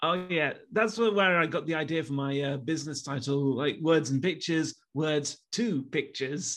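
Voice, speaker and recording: With an East Midlands accent, a man talks at a moderate pace and fairly high pitch with ordinary pitch variation, hardly any pauses, and a quiet background. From Leicester, England. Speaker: YouTuber. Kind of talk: interview.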